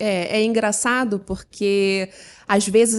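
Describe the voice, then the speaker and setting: A woman's medium-pitched voice in a Rio de Janeiro accent. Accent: carioca. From Rio de Janeiro, Brazil. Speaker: business consultant. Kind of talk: podcast interview. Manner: energetic.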